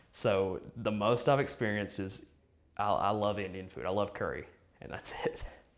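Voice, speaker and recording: Here a man talks in an American accent at a fairly low pitch. His intonation stays fairly even and his pace is moderate. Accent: strong country. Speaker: adoptee interviewee. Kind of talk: interview testimony.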